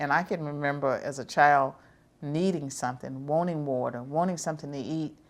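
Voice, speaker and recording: In a Southern US accent, a woman speaks at a fairly quick pace with fairly even intonation on a very clean recording with a silent background. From US South. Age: 70s. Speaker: professor. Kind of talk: interview.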